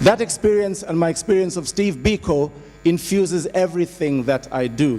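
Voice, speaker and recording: With music in the background, a man with a Zulu accent talks at a moderate pace in a high voice with ordinary pitch variation. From South Africa, Zulu township. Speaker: musician and panelist. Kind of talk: conference panel talk. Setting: conference panel with audience.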